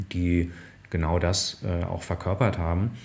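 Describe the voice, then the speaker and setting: A man speaks with a very deep, low pitch at a fairly slow pace. His intonation is monotone and flat, and his voice is somewhat breathy. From northern Hesse, Germany (Bad Hersfeld). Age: 40s. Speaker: management consultant. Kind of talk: interview conversation. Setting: office with interviewer in the same room.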